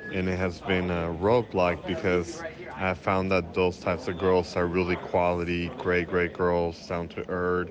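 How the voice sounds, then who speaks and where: Noticeable background noise runs under this recording. A man with a very deep, low pitch speaks at a fairly slow pace. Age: 30s. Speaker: caller. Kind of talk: recorded question.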